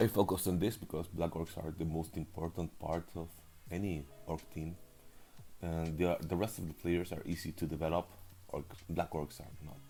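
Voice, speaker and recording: Music plays in the background as a man speaks at a very deep, low pitch. He keeps a moderate pace and fairly even intonation. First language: not English. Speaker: league recap commentator. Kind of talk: casual game preview commentary. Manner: hesitant, with fillers.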